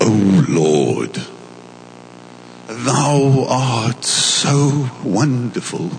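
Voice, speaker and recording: A man does a put-on character voice with lively intonation at a very slow pace, leaving long, frequent pauses. Clear background noise can be heard. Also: medium pitch for a man. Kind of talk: archaic, formal. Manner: exaggerated pious, put-on prayer voice.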